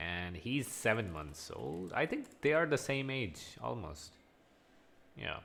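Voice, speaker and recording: Very slow and fairly low, a man's voice carries vocal fry and very wide pitch swings. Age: 20s. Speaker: online English teacher. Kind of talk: one-on-one conversation lesson.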